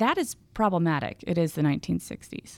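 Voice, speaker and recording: A woman with an American accent uses an ordinary speaking voice, fairly low in pitch, with lively intonation at a fairly quick pace. The recording is very clean and dry, close with no echo and a silent background. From Texas, Houston. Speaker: environmental historian. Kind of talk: interview. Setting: studio.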